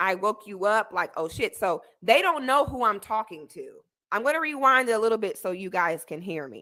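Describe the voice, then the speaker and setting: A woman with an American accent speaks in a raised, projected voice, her tone bright, sharp and animated. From Florida. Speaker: YouTuber reacting to a debate clip. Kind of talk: commentary on a replayed clip.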